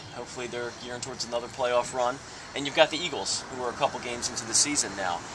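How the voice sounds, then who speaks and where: Over noticeable background noise, a man talks at a very fast pace with medium pitch and ordinary pitch variation. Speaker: interviewer. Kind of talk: interview questions.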